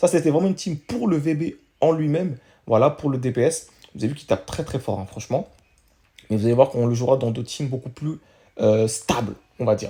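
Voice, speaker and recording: Talking at a fairly quick pace with long, frequent pauses, a man uses a somewhat breathy, dark and mellow tone at a medium pitch with ordinary pitch variation. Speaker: gaming youtuber. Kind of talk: gameplay commentary. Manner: fast.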